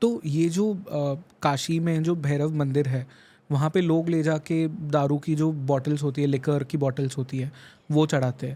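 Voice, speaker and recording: On a very clean recording with a silent background, a man speaks at a moderate pace. His fairly high voice has a dark, mellow tone and fairly even intonation. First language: not Hindi-dominant, weak Hindi (speaking Hindi). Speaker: podcast host. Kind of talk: podcast interview.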